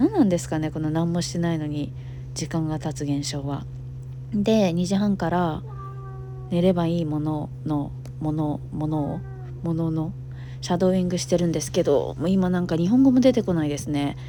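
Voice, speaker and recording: A woman speaks at a very deep, low pitch with ordinary pitch variation. Her pace is moderate, and noticeable background noise sits behind her. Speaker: Japanese teacher. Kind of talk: casual talk to camera. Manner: low energy.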